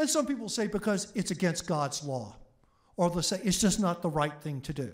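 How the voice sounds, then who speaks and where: In an American accent, a man with a high pitch speaks at a moderate pace in an animated tone with lively intonation, on a very clean recording with a silent background. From Oklahoma, US. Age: 60s. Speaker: history professor. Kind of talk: public lecture. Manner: animated storytelling.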